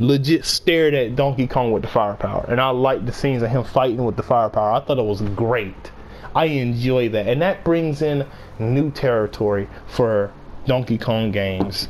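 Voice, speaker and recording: Noticeable background noise accompanies a man speaking at medium pitch with very even loudness. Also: ordinary pitch variation. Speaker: YouTuber reviewing a movie. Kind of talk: casual monologue review. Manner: fast; halting, repeats words.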